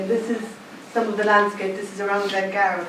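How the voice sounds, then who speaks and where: Through audible room echo and noticeable background noise, a woman with a Cork accent speaks at medium pitch. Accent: Cork Irish, noticeable. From Ireland, County Cork (Clonakilty). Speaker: artist. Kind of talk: artist talk. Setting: exhibition launch with audience.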